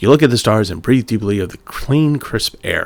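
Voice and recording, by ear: Someone is reading aloud in a natural voice.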